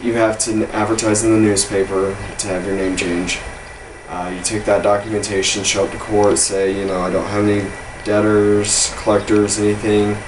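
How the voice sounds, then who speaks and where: A man with an American accent speaks in a fairly low voice and a flat monotone. The room echo is audible and there is noticeable background noise. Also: moderate pace. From Texas. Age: 30s. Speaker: video blogger. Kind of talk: personal vlog. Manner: casual, with hesitations.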